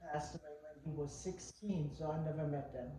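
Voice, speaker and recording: In a room with audible echo and noticeable background noise, a woman talks at a moderate pace with monotone, flat intonation. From Germany. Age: 80s+. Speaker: interviewee. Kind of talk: interview.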